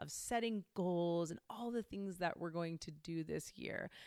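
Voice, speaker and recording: A woman with a plain, everyday voice at a moderate pace, ordinary pitch variation, and a dry, close sound with no echo. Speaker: podcast host. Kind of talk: guided meditation and solo podcast monologue. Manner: warm, conversational.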